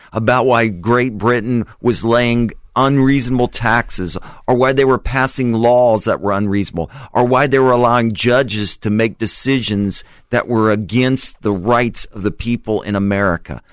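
At a moderate speed and medium pitch, a man talks in a plain, everyday voice. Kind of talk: casual radio interview. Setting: radio studio.

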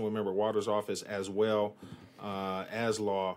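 A man with monotone, flat intonation. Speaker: committee chair. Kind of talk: formal council committee meeting. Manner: formal, procedural.

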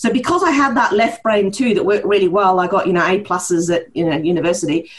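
A woman at a very fast pace, medium in pitch and lively in intonation, with noticeable background noise. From Norway, with New Zealand mother. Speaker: chiropractor and research director. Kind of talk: interview. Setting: remote call from another hemisphere.

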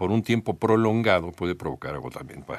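With an ordinary speaking voice, a man talks at a fairly quick pace and medium pitch, his intonation lively, on a very clean recording with a silent background. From Mexico. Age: 50s. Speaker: news radio host. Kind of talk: casual news commentary.

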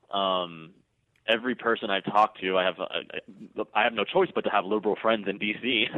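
Fairly low in pitch, a man talks in an ordinary speaking voice at a fairly quick pace with fairly even intonation. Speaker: political commentary writer. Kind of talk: political interview. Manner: sarcastic.

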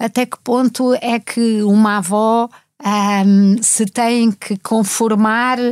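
A woman's fairly high voice, very slow and monotone with flat intonation, in a dry, close sound with no echo on a very clean recording with a silent background. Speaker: writer and journalist. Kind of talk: casual chat.

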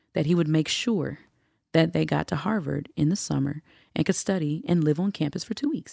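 A woman's very deep, low voice with vocal fry and an animated tone, fairly quick in pace, dry and close with no echo, in a very clean recording with a silent background. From Atlanta, Georgia. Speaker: nonprofit program director. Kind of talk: casual interview.

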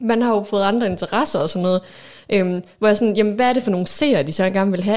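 A woman talks very fast at a medium pitch. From Aalborg, North Jutland, Denmark. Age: 30s. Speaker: podcast co-host, works in media. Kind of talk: casual chat.

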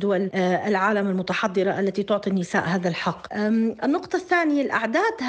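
Background noise is noticeable here. A woman talks at a moderate speed. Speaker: feminist activist. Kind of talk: interview.

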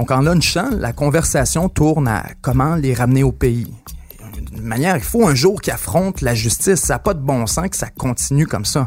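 Music behind a lively, up-and-down delivery at a middling speed. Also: man, medium pitch for a man. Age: 20s. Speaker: podcast host. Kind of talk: scripted narration.

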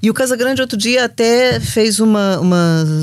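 On a very clean recording with a silent background, a woman with a normal speaking voice talks at a fairly high pitch with lively intonation. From Brazil, Rio de Janeiro. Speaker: podcast host, journalist. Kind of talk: interview.

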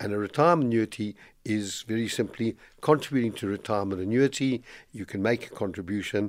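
A man at a medium pitch with ordinary pitch variation and a fairly quick pace, on a very clean recording with a silent background. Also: big swings in loudness. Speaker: financial planning expert. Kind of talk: radio finance advice segment. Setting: radio studio. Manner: energetic.

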